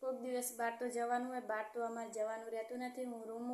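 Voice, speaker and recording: Soft-spoken and high-pitched, a woman talks in a monotone, flat intonation amid noticeable background noise and audible room echo. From Gujarat, Aravalli district. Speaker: vlogger. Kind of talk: casual vlog talk. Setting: rented room at home. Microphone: voice recorded too quietly.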